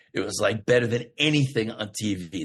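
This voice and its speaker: A man talks with an American accent and ordinary pitch variation. His voice is somewhat breathy. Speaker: actor. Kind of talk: casual chat. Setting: podcast interview. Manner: fast.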